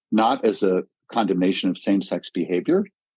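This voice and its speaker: A man with an American accent and a normal speaking voice talks at a moderate pace with ordinary pitch variation. The sound is dry and close, with no echo. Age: 60s. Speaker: professor. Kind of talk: interview.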